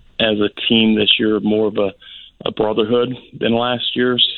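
Here a man with an American accent has an unremarkable speaking voice at medium pitch. His pace is fairly slow and his intonation fairly even. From US Midwest, Indiana. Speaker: high school basketball coach. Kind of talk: radio interview.

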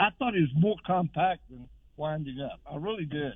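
This is a male voice. The rise and fall of his pitch is ordinary. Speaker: caller. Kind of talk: call-in radio. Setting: phone call.

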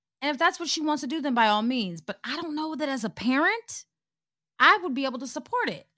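A woman speaks at a very fast pace in a raised, projected voice, her high pitch swinging very widely with a bright, sharp tone. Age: 40s. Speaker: podcast co-host. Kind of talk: casual chat.

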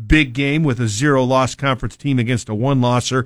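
In a very clean recording with a silent background, a man speaks in a plain, everyday voice at a medium pitch, with fairly even intonation and a fairly quick pace. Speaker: sports play-by-play announcer. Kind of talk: radio sports analysis chat.

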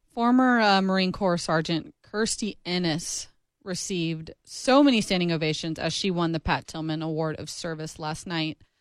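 In a very clean recording with a silent background, a woman with an ordinary speaking voice talks at a fairly low pitch and a moderate pace, with ordinary pitch variation and hardly any pauses. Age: 20s. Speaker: sports podcast co-host. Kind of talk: casual chat.

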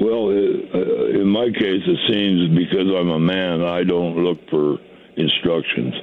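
Over noticeable background noise, a man with an American accent speaks very slowly in a very deep, low voice. His intonation is fairly even and his loudness very even. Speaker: caller. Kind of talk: casual phone chat asking a question. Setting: phone call.

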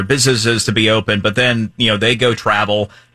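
A bright, sharp tone with an American accent, ordinary pitch variation and a fairly quick pace, on a very clean recording with a silent background. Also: man. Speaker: radio host. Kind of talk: radio interview.

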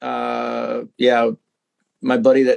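A man is heard in a dry, close sound with no echo. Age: 50s. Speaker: fitness equipment maker and CrossFit coach. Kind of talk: casual chat. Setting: remote podcast recording.

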